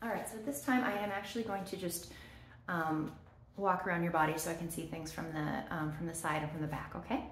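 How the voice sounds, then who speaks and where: A woman with a fairly low voice speaks at a very fast pace. Audible room echo and light background noise surround her. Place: home room. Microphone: phone near.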